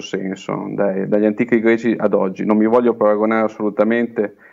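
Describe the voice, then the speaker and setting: A man with a fairly low pitch speaks at a moderate pace in a monotone, flat intonation. The background is quiet. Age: 30s. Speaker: small-town mayor. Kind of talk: remote interview. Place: office. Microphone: earbuds.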